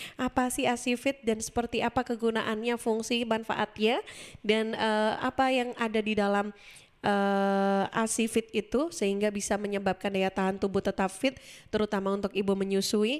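Against a quiet background, a woman talks at a moderate pace with fairly even intonation and very even loudness. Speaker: radio host. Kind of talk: radio talk show. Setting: studio. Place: studio. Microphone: studio mic.

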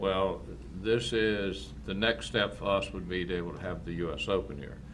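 With a North Carolina accent, a man speaks at a moderate pace in a very deep, low pitch with ordinary pitch variation. Audible room echo surrounds him. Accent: Southern US (North Carolina). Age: 70s. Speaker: farm and shooting facility owner. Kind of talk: public comment at council meeting. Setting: county board meeting.

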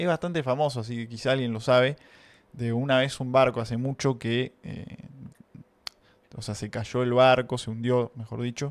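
At a moderate pace, a man talks in a medium pitch with fairly even intonation. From Argentina. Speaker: streamer. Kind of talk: casual chat. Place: home room. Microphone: studio mic.

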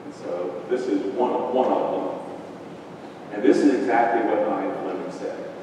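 A man is speaking amid noticeable background noise. Strong room echo colors the recording. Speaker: speaker. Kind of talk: lecture. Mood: amused, anecdotal. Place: classroom.

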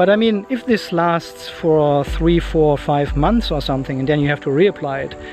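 Clear music plays behind a man who talks at a moderate pace with ordinary pitch variation, the sound dry with no echo. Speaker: car vlogger. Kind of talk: casual vlog chat. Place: street. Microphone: phone near.

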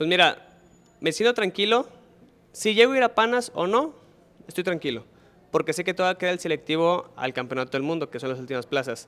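Delivered at a fairly quick pace with long, frequent pauses, the speech has very wide pitch swings. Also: man, high pitch for a man. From Mexico, Nuevo León (Monterrey area); Nuevo León, Mexico. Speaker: Olympic diver. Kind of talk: interview. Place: hall. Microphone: handheld.

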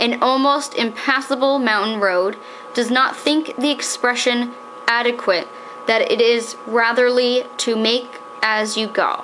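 Noticeable background noise sits behind a woman whose intonation stays fairly even. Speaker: daughter reading aloud. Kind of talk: period magazine reading aloud. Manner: steady, formal, measured.

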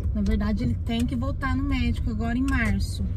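A woman speaks at a fairly quick pace. The sound is dry with no echo, but loud background noise is present. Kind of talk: casual vlog chat. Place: car. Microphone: phone near.

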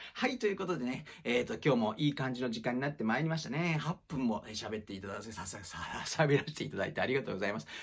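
Somewhat breathy and very fast, a man talks with lively intonation. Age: 40s. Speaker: acting teacher and former actor; acting teacher. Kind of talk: casual monologue livestream. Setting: livestream recorded on iPad. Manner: polite, filler-heavy. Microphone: phone near.

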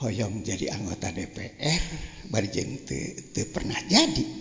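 A man talks at a very slow pace, with noticeable background noise present. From West Java (Banjar). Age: 70s. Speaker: elder cleric, politician. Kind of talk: religious talk. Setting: religious gathering with audience.

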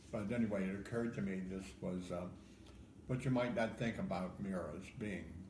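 A man with an American accent speaks at a moderate pace and fairly low pitch in a somewhat breathy voice with ordinary pitch variation, amid audible room echo and light background noise. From Ohio. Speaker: poet. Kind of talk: interview answer. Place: home room. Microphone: phone near.

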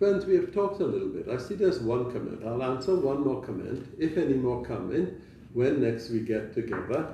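Speaking at a moderate pace, a man with a medium-pitched, dark, mellow tone makes big pitch swings against audible room echo.

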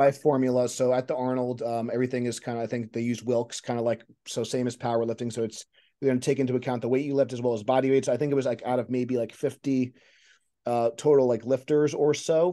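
Against a quiet background, a man speaks at a very fast pace in a dark, mellow tone with monotone, flat intonation. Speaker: strength coach podcast host. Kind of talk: interview question and commentary. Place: home room. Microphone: video call.

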